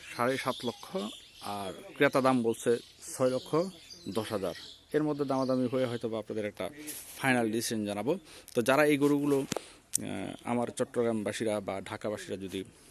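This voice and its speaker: A man speaks with an ordinary speaking voice. His pitch is medium, with ordinary pitch variation. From Chittagong, Bangladesh. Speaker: livestock market vlogger. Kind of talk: on-location vlog commentary and interview.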